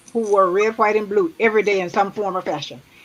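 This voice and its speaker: A woman with an American accent speaks at a medium pitch over noticeable background noise. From Tulsa, Oklahoma. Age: 70s. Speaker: retired nurse. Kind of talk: casual chat.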